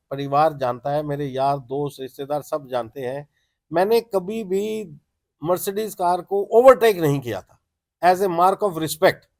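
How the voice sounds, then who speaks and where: Recorded very cleanly with a silent background, a man speaks at a fairly high pitch. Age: 60s. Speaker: transporter, car owner. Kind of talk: interview. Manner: halting.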